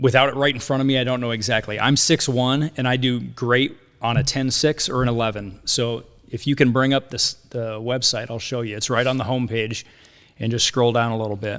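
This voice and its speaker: A man with an American accent, at a fairly quick pace with monotone, flat intonation. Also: medium pitch for a man. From US Midwest, Quad Cities (Iowa/Illinois). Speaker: hammock maker and firefighter. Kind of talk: casual podcast interview.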